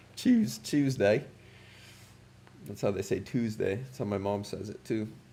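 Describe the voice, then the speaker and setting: A man speaks at a fairly slow pace with a medium pitch and a somewhat breathy, dark, mellow tone. His intonation stays fairly even, but his loudness swings widely. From Canada, Ottawa. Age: 30s. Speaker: English teacher. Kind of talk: livestream chat.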